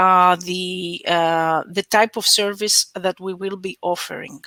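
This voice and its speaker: Recorded very clean with a silent background and a dry, close sound without echo, a woman with a Greek accent speaks at a fairly slow pace in a medium pitch with a bright, sharp tone. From Greece. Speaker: research project expert. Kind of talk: conference Q&A answer. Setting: web conference. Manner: halting, many fillers.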